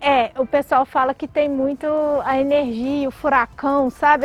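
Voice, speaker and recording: Over noticeable background noise, with a dry, close sound and no echo, the speaker talks at a fairly slow pace with a Minas Gerais accent and monotone, flat intonation. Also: woman. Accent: mineiro. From Brazil, Minas Gerais (Belo Horizonte). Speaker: tech company CEO. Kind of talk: interview. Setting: outdoors by a lake.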